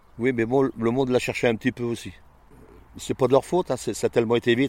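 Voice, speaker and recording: Dark and mellow, a man's voice moves at a very fast pace in a dry, close recording with no echo. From France, Loir-et-Cher (near Blois). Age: 70s. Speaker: retired butcher, gardener. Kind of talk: casual interview. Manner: colloquial, halting with repetitions.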